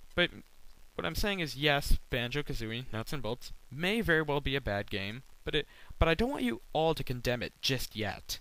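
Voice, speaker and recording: On a very clean recording with a silent background, a man with a fairly high, bright and sharp voice speaks at a moderate pace with lively intonation. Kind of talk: rant to camera. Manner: occasional stutter.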